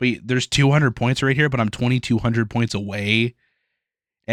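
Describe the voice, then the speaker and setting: Fairly even intonation runs at a very fast pace on a very clean recording with a silent background. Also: man. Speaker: mobile game content creator. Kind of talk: casual gaming commentary.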